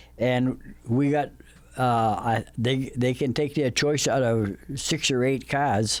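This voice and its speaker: In a New England accent, a man speaks at a very slow pace and medium pitch, his intonation fairly even and his loudness very even. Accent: New England American. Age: 80s+. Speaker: retired train ride operator. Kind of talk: casual interview. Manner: halting, many repetitions and fillers.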